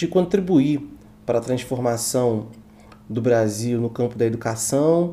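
A man's dark, mellow voice at a fairly slow pace. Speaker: university student. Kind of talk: podcast interview.

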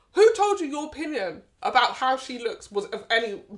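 In a British accent, a woman with a high pitch speaks at a moderate pace, her pitch swinging very widely. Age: 20s. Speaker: podcast co-host. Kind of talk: casual chat.

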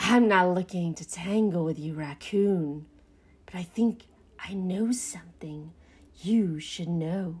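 A woman uses a put-on character voice, fairly low in pitch with a husky, rough edge and a slightly mellow tone. She speaks slowly, and her pitch varies in an ordinary way.

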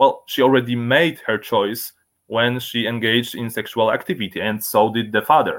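A man talks at a moderate pace with a Polish accent. His pitch is medium and his intonation fairly even. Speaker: libertarian activist. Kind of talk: interview. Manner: halting.

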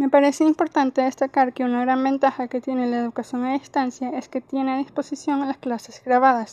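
A woman talks at a fairly quick pace with hardly any pauses, her high pitch carrying a dark, mellow tone. Her intonation is monotone and flat, and the sound is dry and close with no echo. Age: 20s. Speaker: university student. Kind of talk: scripted monologue. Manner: formal.

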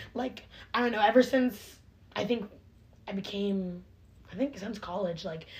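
Here, a woman speaks in a medium-pitched, somewhat breathy voice. Her pitch varies in an ordinary way. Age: young. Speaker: podcast co-host, college student. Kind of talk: casual chat. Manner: animated.

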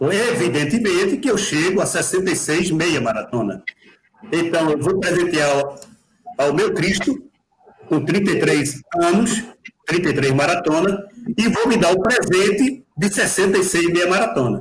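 A man's high-pitched voice at a very slow pace, with lively intonation and very even loudness. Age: 60s. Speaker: amateur marathon runner. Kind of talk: live video chat. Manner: animated.

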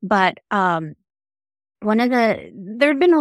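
A woman's calm tone carries lively intonation in a dry, close sound with no echo. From New York City (Manhattan), raised from age four, born in the Philippines. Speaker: business strategist. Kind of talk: casual interview chat. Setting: video call.

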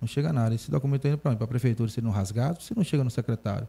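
A man's dark, mellow, somewhat breathy voice carries lively intonation on a very clean recording with a silent background. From Feira de Santana, Bahia, Brazil. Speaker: city councillor. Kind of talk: interview.

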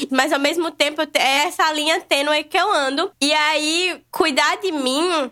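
Raised and projected, a woman's voice carries a bright, sharp tone. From Brazil, Natal (Rio Grande do Norte, Northeast). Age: 20s. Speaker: vegan food content creator. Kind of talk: casual podcast conversation.

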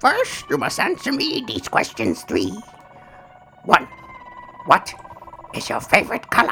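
Faint music plays in the background as someone talks fairly slowly in a put-on character voice.

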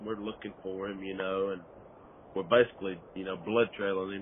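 Here is a man with a Southern US accent and a fairly low pitch. His intonation is flat and monotone. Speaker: turkey hunter. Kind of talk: casual chat.

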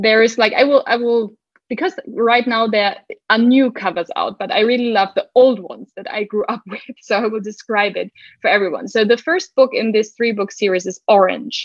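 A woman talks with a German accent at a fairly high pitch. Her pace is moderate and her pitch variation ordinary. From Germany. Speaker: book podcaster. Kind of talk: casual chat.

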